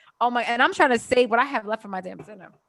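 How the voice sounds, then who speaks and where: In a Baltimore accent, a woman talks at a very fast pace and a high pitch. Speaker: podcast co-host. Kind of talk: casual chat.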